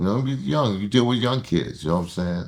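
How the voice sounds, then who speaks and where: A man's fairly low voice with very wide pitch swings. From Harlem, New York City. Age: 60s. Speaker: interviewee, Harlem native. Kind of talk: casual interview storytelling.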